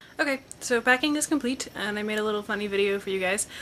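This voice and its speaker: With ordinary pitch variation, this woman's speech races along at a very fast pace. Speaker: vlogger. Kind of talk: casual vlog.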